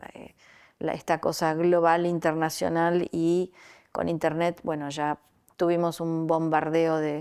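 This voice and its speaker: Very slowly, a woman talks in a fairly low, monotone, flat voice. The recording is very clean, with a silent background. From Argentina, Rosario. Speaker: artist. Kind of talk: interview. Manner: halting, many fillers.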